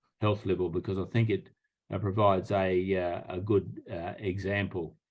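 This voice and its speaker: Against a quiet background, a man with an Australian accent speaks at a moderate pace and a fairly low pitch. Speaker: public health professor. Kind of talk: lecture.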